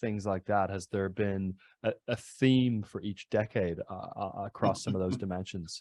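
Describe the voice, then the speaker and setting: Recorded dry and close with no echo, a man speaks in a normal speaking voice at a fairly low pitch and a fairly slow pace. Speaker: podcast interviewer. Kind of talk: interview question.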